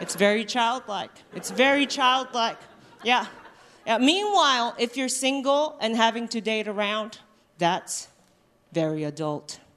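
Against noticeable background noise, a woman speaks at a fairly slow pace with lively intonation and long, frequent pauses. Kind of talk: stand-up. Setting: stage with live audience.

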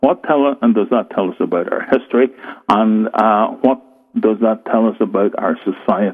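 With a Northern Irish accent, a man talks at a moderate pace in a medium pitch, showing ordinary pitch variation. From Northern Ireland, rural. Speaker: author on folklore and the supernatural. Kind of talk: interview on radio show.

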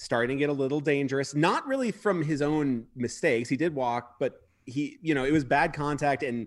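A man talks in a plain, everyday voice with ordinary pitch variation. The background is quiet. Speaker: baseball analyst. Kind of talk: excited post-game sports discussion.

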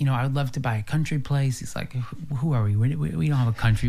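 Somewhat breathy and dark, mellow in tone, a man with an American accent talks at a very fast pace with lively intonation. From US, rural farm. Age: 30s. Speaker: lifestyle expert and brand builder. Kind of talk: casual chat.

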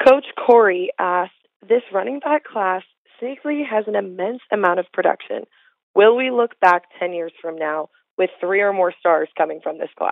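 A woman with an unremarkable speaking voice talks at a moderate pace. Her medium pitch carries lively intonation. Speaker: intern. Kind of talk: reading listener questions.

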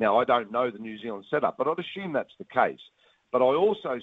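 A medium-pitched man's voice with an Australian accent. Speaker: cricket coach and commentator. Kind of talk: interview. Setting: phone call.

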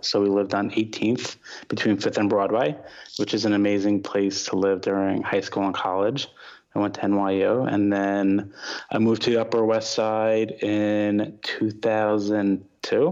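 The speaker has an American accent and a moderate pace. The intonation is monotone and flat. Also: man. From New York, Long Island. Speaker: comedy club owner. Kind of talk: casual chat. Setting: video call.

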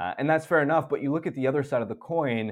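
This man speaks with ordinary pitch variation. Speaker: hockey journalist. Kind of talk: casual interview.

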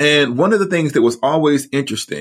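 With a plain, everyday voice, a man speaks fairly quickly at a fairly high pitch and with lively intonation. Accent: American. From US South, Huntsville, Alabama. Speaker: author and theology professor. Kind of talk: interview.

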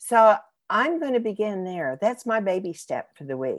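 A woman's voice swings very widely in pitch. The recording is very clean, with a silent background. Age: 70s. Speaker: podcast host and life coach. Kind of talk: interview; reading an introduction.

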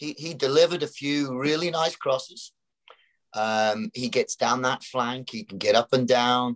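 Speaking with a British accent, a man at medium pitch uses lively intonation at a moderate pace, the sound dry and close with no echo. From Britain. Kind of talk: casual chat.

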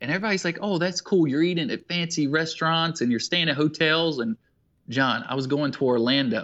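Fairly quick and fairly high-pitched, a man with an American accent has an unremarkable speaking voice and ordinary pitch variation. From South Carolina. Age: 20s. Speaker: endurance athlete and fitness coach. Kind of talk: casual interview.

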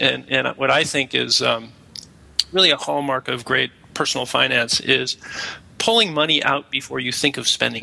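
With noticeable background noise behind him, a man speaks at a moderate pace. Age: 50s. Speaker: founder of a family finance app. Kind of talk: casual interview.

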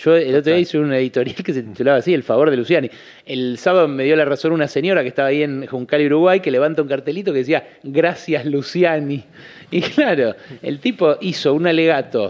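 A man's fairly high voice at a very fast pace. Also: ordinary pitch variation. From Buenos Aires, Argentina (Caballito). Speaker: economist and journalist. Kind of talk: radio interview.

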